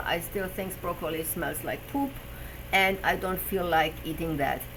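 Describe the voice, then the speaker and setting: A woman with a German accent is heard with audible room echo and noticeable background noise. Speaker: personal trainer and health show host. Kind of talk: live stream talk. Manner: halting, with fillers.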